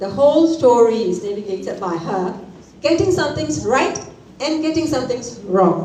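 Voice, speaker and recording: Against noticeable background noise and audible room echo, a woman with a Tamil accent speaks in a high pitch with very wide pitch swings. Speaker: author and corporate trainer. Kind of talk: book launch speech.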